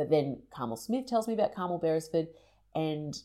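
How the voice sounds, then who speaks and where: On a very clean recording with a silent background, a woman speaks with an Australian accent. Her very deep, low voice has a dark, mellow tone, lively intonation and a fairly quick pace. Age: 30s. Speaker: podcast host. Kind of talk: solo monologue. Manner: casual, chatty.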